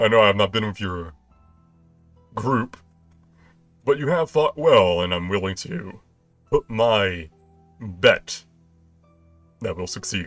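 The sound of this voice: A man uses a put-on character voice with lively intonation, at a fairly slow pace with long, frequent pauses. Faint music plays in the background. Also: fairly low pitch for a man.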